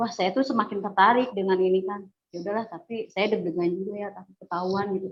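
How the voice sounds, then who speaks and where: A woman's medium-pitched voice at a very fast pace with hardly any pauses and fairly even intonation. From West Java (Bandung), Sundanese. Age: 40s. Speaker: convert giving testimony. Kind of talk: testimony. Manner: hesitant, many fillers.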